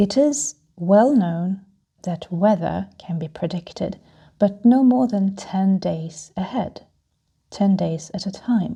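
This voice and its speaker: A woman's dark, mellow, calm and soothing voice, somewhat breathy, medium in pitch with ordinary pitch variation, at a very slow pace. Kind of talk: calming travel talk for flyers. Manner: calm, soothing.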